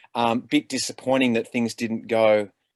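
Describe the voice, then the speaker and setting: A man with an Australian accent speaks at a moderate pace in a medium pitch with fairly even intonation. The very clean recording has a silent background and a dry, close sound with no echo. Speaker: actor. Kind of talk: panel discussion. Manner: halting.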